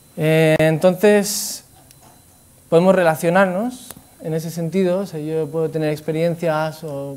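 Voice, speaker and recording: A man's fairly high voice, fairly even in intonation, at a fairly slow pace. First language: not Spanish (Spanish is third language) (speaking Spanish). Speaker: Buddhist speaker. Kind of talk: talk to an audience. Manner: halting.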